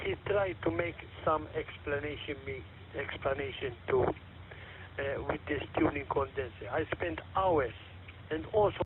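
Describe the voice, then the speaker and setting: A fairly high-pitched man speaks at a fairly slow pace with very wide pitch swings. Noticeable background noise runs underneath. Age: 60s. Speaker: vintage radio collector. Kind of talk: presentation on amateur radio net. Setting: amateur radio net. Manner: halting.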